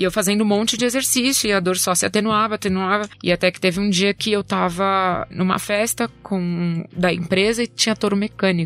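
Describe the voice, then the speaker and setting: Speaking fairly quickly, a woman uses an unremarkable speaking voice at a medium pitch with ordinary pitch variation. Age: 20s. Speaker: cancer survivor sharing her story. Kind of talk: testimony.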